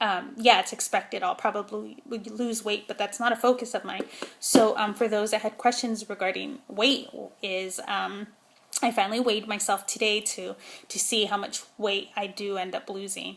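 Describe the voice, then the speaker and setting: A woman's fairly high, mumbling voice in a monotone, flat intonation at a moderate pace, with noticeable background noise. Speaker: vlogger. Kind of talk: casual vlog monologue. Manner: hesitant, many fillers.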